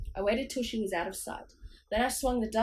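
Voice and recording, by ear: The words are heard reading aloud in a natural voice, with pitch that varies in an ordinary way.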